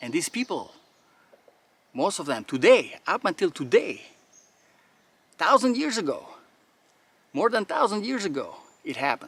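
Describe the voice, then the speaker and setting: A man with a non-native accent talks at a moderate pace and a high pitch, with very wide pitch swings and big swings in loudness. Long, frequent pauses break up his speech, and the sound is dry and close with no echo. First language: not English. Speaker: firearms and faith YouTuber. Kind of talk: outdoor monologue during drill. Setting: outdoors. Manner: animated.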